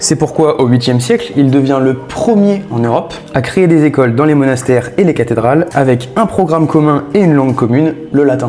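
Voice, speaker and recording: At a fairly quick pace and with hardly any pauses, a man speaks in a fairly high pitch with ordinary pitch variation and very even loudness, over noticeable background noise. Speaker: history explainer video creator. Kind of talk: scripted educational narration. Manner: fast; animated.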